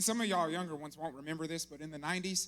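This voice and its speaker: With music playing behind him, this man talks in a high register. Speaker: army officer giving a church talk. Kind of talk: sermon. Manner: fast.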